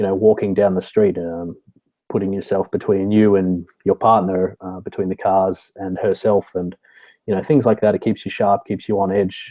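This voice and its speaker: A man's very deep, low voice with flat, monotone intonation and an Australian accent. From Australia, Sydney. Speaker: security consultant, military veteran. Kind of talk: interview.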